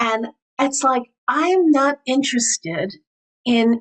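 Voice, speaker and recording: Speaking very slowly, a woman with an American accent uses lively intonation. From New York. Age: 60s. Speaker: priestess and spiritual teacher. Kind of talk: interview.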